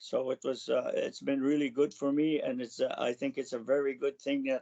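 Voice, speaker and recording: A man speaks with a Canadian accent. His pace is moderate. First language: Cree. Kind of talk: personal storytelling. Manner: halting.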